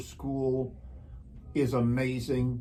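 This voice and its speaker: With audible room echo, a man with an American accent speaks in a somewhat breathy voice. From rural Wisconsin. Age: 50s. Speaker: show host. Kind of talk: interview.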